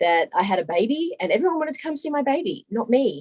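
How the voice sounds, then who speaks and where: Someone with an Australian accent speaks at a moderate pace with lively intonation, in a dry, close sound with no echo. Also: woman. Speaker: short-term rental business owner. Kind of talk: interview.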